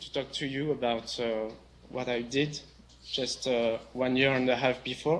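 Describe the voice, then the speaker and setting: A man speaks with a French accent. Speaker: software developer and company CTO. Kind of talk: conference talk. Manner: slow; halting.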